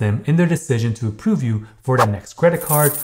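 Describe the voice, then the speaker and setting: Somewhat breathy, a man speaks with lively intonation against a quiet background. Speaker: credit education youtuber. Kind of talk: tutorial. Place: home room.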